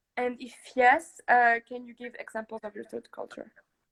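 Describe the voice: Recorded dry and close with no echo, a woman speaks at a moderate pace in a fairly high, fairly bright voice with vocal fry and little pitch movement.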